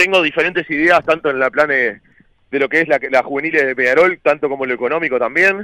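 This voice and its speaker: With a Uruguayan accent, a man talks at a very fast pace in a fairly high pitch with a bright, sharp tone and ordinary pitch variation. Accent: Rioplatense Spanish (Uruguayan). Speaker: youtuber and club election candidate. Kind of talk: casual chat.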